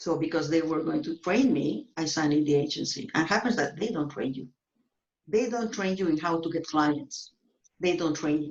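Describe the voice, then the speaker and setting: A plain, everyday voice from a woman, fairly low in pitch, at a moderate pace with lively intonation. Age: 50s. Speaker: real estate agent. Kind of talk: interview.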